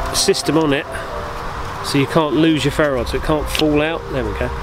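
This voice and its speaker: Background music behind a man speaking fairly slowly. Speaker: bushcraft vlogger. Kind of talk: casual vlog chat. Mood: pleased, relaxed. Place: forest. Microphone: phone near.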